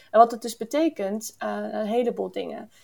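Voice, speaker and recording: A woman speaks at a fairly slow pace. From Canada, near Toronto. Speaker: ecological engineer. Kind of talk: interview. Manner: hesitant with many fillers.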